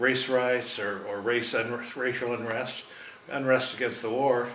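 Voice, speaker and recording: Over noticeable background noise and audible room echo, a man speaks with a West Coast accent and monotone, flat intonation. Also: medium pitch for a man, fairly slow pace. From Oregon, US. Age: 60s. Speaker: interviewee recalling history. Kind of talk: oral history interview. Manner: halting, many fillers.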